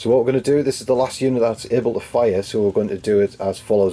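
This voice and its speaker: A man at medium pitch with very fast delivery and fairly even intonation. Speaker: wargaming battle report presenter. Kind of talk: live game commentary.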